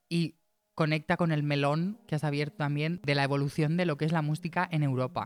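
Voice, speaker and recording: A man's fairly high-pitched voice, monotone and flat, very even in loudness, at a moderate pace, on a very clean recording with a silent background. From Spain, Torrent (Valencia). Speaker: musician and producer. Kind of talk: casual chat.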